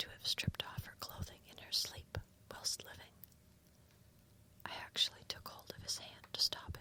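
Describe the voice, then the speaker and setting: The woman is whispering at a fairly slow pace. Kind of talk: literary narration, slow whispered story reading. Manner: whispered, soft, calming.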